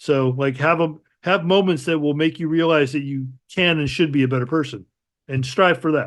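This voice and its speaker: A man with an American accent talks at a moderate pace in a fairly high pitch with ordinary pitch variation, in a plain, everyday voice. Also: quiet background. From Chicago, US Midwest. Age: 60s. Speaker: multidisciplinary artist. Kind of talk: casual interview chat.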